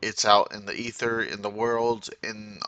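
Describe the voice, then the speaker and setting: A man's voice at medium pitch carries a bright, sharp tone. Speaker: YouTuber demoing AI music app. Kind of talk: casual tutorial.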